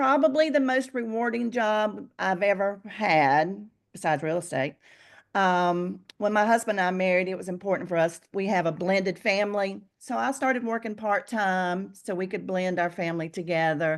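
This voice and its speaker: Against a quiet background, a woman with a normal speaking voice talks at a moderate pace and medium pitch with lively intonation. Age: 60s. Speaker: real estate agent. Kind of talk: casual interview. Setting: video call.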